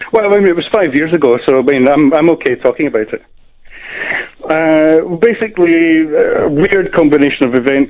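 A man talks at a fairly quick pace, his pitch fairly high and its variation ordinary. Background noise is noticeable behind him. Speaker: caller. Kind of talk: casual chat. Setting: phone call.

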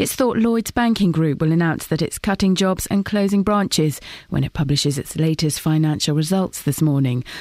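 In a very clean recording with a silent background, a normal speaking voice runs with lively intonation, very even loudness and hardly any pauses. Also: woman, fairly low pitch for a woman, moderate pace. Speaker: radio newsreader. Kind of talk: news reading. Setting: studio.

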